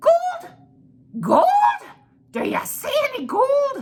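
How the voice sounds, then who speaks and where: A squeaky, put-on character voice at an extremely high pitch drags along at a very slow pace with very wide pitch swings. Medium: read story. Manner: cheeky, squirming, indignant.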